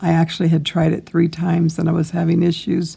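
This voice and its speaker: Dark, mellow tone from a woman, fairly low in pitch and somewhat breathy. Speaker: crochet teacher. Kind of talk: tutorial. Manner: slow. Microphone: microphone broken, iPad recording, may be hard to hear.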